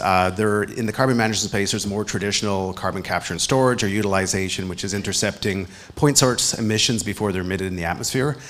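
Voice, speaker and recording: With a Canadian accent, a man has an unremarkable speaking voice, fairly low in pitch with ordinary pitch variation. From Canada. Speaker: clean tech company CEO. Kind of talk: panel discussion.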